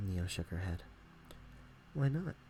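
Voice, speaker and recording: Over background music, a soft-spoken man with a very deep, low pitch talks at a moderate pace with lively intonation. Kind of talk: bedtime story reading. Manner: soft, relaxing ASMR voice.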